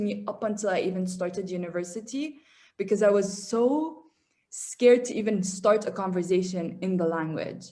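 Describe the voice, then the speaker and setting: Someone talks at a fairly quick pace with an Arabic accent. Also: woman. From Qatar, raised by Syrian family. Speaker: engineering student abroad. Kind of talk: casual interview chat.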